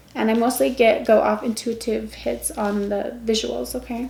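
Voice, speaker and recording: Noticeable background noise and audible room echo surround a woman speaking at a fairly high pitch. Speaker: tarot reader. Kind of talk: tarot reading. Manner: stumbles over words when reading.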